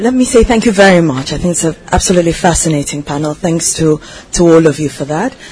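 Noticeable background noise fills the recording. The talking rushes along very fast. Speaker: audience member asking a question. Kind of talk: audience question. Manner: hesitant.

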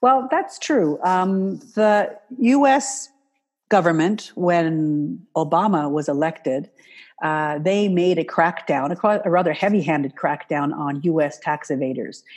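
A woman with an American accent speaks in a normal speaking voice, fairly low in pitch and at a fairly slow pace, with lively intonation over a quiet background. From Canada, US and Switzerland. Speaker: wealth management marketing consultant. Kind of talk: interview.

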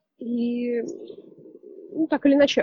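A high-pitched woman's voice with a dark, mellow tone, dry and close with no echo. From Russia, Saint Petersburg. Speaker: photographer. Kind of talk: casual interview.

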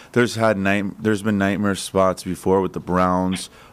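A man speaks in a normal speaking voice at a moderate pace and a fairly low pitch, on a very clean recording with a silent background. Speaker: sports betting analyst. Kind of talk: casual chat. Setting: studio.

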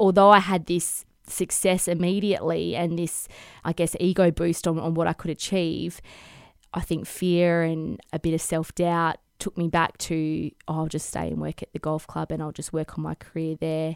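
A woman with a fairly low pitch speaks in a monotone, flat voice, dry and close with no echo, on a very clean recording with a silent background. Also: moderate pace. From Western Australia, Perth. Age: 30s. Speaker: fashion designer. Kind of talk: interview conversation.

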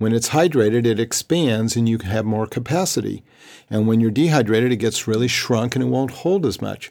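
A man at medium pitch, dark and mellow in tone, with ordinary pitch variation and a fairly quick pace. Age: 60s. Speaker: holistic health practitioner. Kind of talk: interview.

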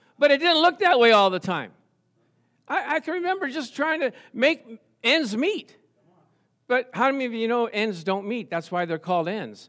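A man with an extremely high pitch and a bright, sharp tone swings his pitch very widely and takes long, frequent pauses in a very clean recording with a silent background. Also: moderate pace. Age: 70s. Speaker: pastor. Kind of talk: sermon. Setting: church. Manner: animated.

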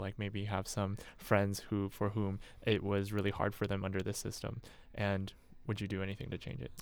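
A man with a fairly low pitch talks at a moderate pace in an ordinary speaking voice. The recording is very clean, with a silent background. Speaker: student podcast host. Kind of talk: interview. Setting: studio.

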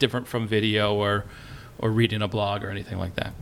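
Talking at a very fast pace, a man with fairly low pitch keeps a monotone, flat intonation over noticeable background noise. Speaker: pastor and podcaster. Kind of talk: panel discussion. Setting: stage with audience.

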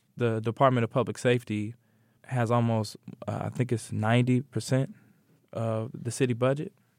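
Someone with a Midwestern US accent speaks at a moderate pace with fairly even intonation. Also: man, medium pitch for a man. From Indianapolis, Indiana (east side). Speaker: artist and educator, community organizer. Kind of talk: interview.

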